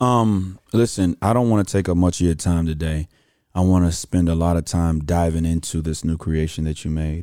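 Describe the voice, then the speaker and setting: In a Houston accent, a man speaks at a moderate pace with a very deep, low pitch, a dark, mellow tone and fairly even intonation. The recording is very clean, with a silent background. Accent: Southern US, Houston. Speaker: podcast host. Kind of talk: casual interview chat.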